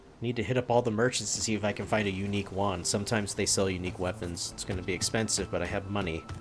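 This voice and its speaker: A man's fairly low voice at a very fast pace with fairly even intonation, hardly any pauses and noticeable background noise. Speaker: vtuber streamer. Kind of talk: gameplay stream commentary. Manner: casual, reactive.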